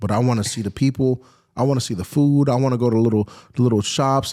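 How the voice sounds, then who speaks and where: A man at a medium pitch and a very fast pace, very cleanly recorded over a silent background. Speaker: automotive YouTuber. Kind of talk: casual chat. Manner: loud; animated.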